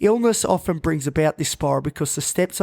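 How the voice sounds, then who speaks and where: A fairly high-pitched man with an Australian accent, on a very clean recording with a silent background and a dry, close sound with no echo. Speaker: mental health podcast host. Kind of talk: podcast monologue.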